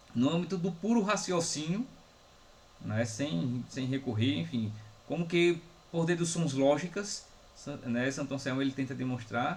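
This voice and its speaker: A man speaks fairly slowly, his words carrying audible room echo. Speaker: philosophy professor. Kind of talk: lecture. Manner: slow, dictating.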